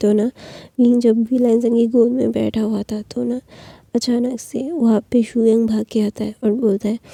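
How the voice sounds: The dark, mellow voice has vocal fry, a slightly husky edge and little pitch movement, heard at a moderate pace in a dry, close sound with no echo. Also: woman, fairly high pitch for a woman.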